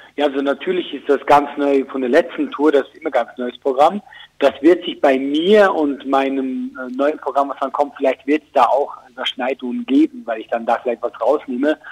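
The sound is dry and close with no echo, in a normal speaking voice. Delivery runs at a moderate pace with hardly any pauses, big swings in loudness and ordinary pitch variation. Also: man, fairly high pitch for a man. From Switzerland. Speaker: comedian. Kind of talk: phone interview.

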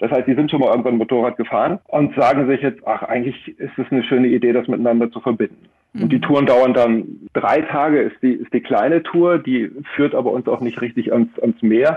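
A fairly quick man's voice, a plain, everyday voice at medium pitch, its pitch moving in an ordinary way. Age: 50s. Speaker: life coach and motorcycle tour guide. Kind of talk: radio interview.

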